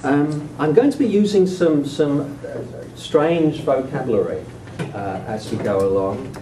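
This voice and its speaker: A man speaks with a British accent at a fairly high pitch, making very wide pitch swings. His pace is fairly slow, and there is noticeable background noise. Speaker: sociology of education professor. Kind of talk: lecture. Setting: stage with audience. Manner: halting.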